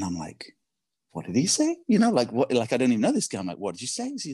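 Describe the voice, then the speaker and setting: Speaking at a very fast pace, a man delivers his words with an English accent. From England. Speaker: podcast guest. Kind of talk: storytelling in casual interview. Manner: animated.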